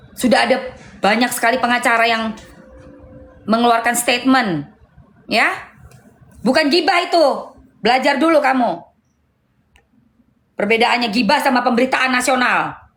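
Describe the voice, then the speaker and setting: A woman's high-pitched voice at a moderate pace, with ordinary pitch variation, very even loudness, long and frequent pauses, and audible room echo. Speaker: live streamer. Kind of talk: heated live stream argument. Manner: loud, raised voice.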